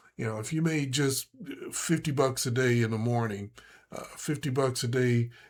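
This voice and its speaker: Over a silent background in a very clean recording, a man with a plain, everyday voice and medium pitch speaks at a moderate pace. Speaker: day trading instructor. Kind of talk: tutorial. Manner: casual, with many fillers.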